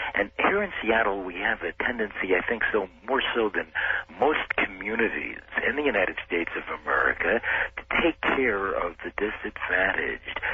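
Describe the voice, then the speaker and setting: Noticeable background noise behind a male speaker with a medium pitch, ordinary pitch variation and a moderate pace. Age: 60s. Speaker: caller. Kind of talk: call-in radio discussion. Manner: hesitant, many fillers.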